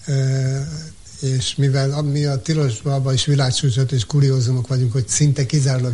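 A man talks at a moderate pace in a medium pitch, with noticeable background noise behind him. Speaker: community radio manager. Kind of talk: interview. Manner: halting.

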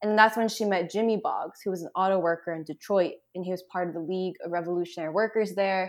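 Over a quiet background, a woman with an American accent talks very fast with hardly any pauses and fairly even intonation. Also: medium pitch for a woman. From Boston. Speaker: writer and activist. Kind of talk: casual chat. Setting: remote call.

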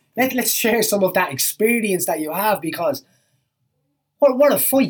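Male voice at a fairly quick pace with lively intonation. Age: 30s. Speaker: MMA podcast host. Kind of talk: casual monologue.

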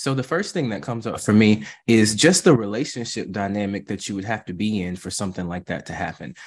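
A man talks very fast with hardly any pauses against a quiet background. His voice is fairly low and his intonation lively. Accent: American. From US South. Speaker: therapist. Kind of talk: interview.

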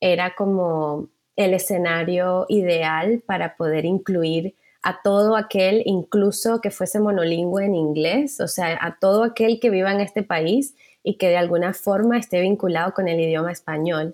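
A woman with a normal speaking voice at medium pitch, a fairly slow pace and ordinary pitch variation. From Venezuela, Caracas. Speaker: journalist. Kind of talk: casual interview chat.

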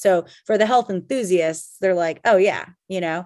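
The background is quiet. A woman speaks at a fairly low pitch. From Canada, Calgary, Alberta. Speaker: kombucha company founder and CEO. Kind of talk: casual interview. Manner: halting, many fillers.

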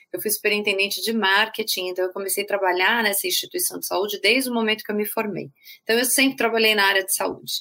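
Speaking very fast, a woman with a medium pitch has a bright, sharp tone and fairly even intonation. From Brazil, São Paulo. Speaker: healthcare marketing executive, patient experience specialist. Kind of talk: interview.

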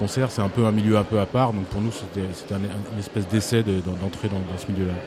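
Noticeable background noise and audible room echo surround a man whose fairly low voice has monotone, flat intonation. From France, Angers. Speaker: musician. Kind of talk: interview. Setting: festival hall.

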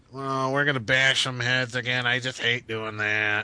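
A man performs a put-on character voice that is rumbling, at a medium pitch. The delivery is monotone and flat. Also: moderate pace. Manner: cranky, grumbling.

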